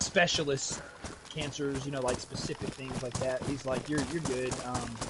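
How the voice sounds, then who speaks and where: A man speaks loudly at a moderate pace and medium pitch in a monotone, flat delivery. Noticeable background noise runs underneath. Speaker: gaming streamer. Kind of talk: casual chat while gaming.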